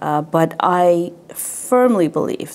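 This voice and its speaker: Here a woman speaks in a Tibetan accent. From Canada (Quebec, French-speaking). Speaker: Tibetan administration representative. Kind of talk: interview.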